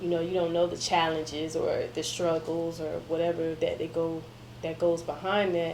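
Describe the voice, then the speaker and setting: A woman with an American accent speaks at a moderate pace and a fairly low pitch, her intonation monotone and flat. There is audible room echo and noticeable background noise. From Miami, Florida, Jamaican family. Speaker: media interviewer and digital marketer. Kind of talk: interview conversation. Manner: casual, hesitant with many ums.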